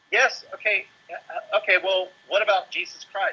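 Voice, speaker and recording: This man speaks with a Raleigh accent. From Raleigh, North Carolina. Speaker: spiritual teacher, meditation and yoga studio owner. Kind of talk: casual interview conversation.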